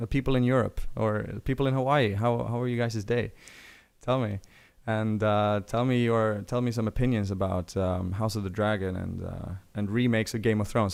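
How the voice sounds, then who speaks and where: With a Swedish accent, a man speaks at a medium pitch with ordinary pitch variation. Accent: Swedish, sometimes taken for Irish. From Sweden. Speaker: pop culture streamer. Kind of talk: livestream chat. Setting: livestream. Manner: halting, many fillers. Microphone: good microphone.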